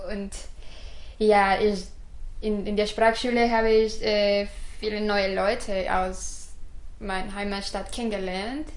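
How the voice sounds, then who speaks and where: Room echo is audible as a woman speaks at a fairly slow pace. Her pitch is medium and her intonation monotone and flat. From Mexico, Guadalajara. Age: 20s. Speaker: designer and student. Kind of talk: casual interview. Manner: halting, non-native.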